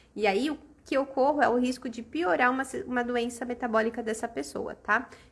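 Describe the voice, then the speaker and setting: Woman's high voice at a fairly quick pace, with ordinary pitch variation. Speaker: aesthetics educator. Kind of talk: live-stream lecture. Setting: live stream.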